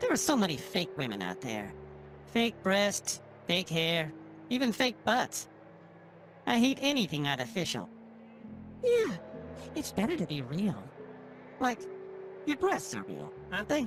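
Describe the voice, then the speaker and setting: In a put-on character voice, the speaker moves at a moderate pace with long, frequent pauses over clear background noise. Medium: read story. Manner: warm, flattering.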